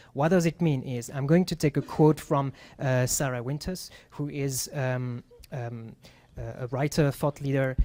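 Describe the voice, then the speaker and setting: A man with a French accent and a fairly high pitch speaks at a moderate pace with fairly even intonation. His tone is dark and mellow, and the sound is dry and close with no echo. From France. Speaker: UX writer / content designer. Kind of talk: presentation talk at meetup. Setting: meetup with live audience. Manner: halting, many fillers.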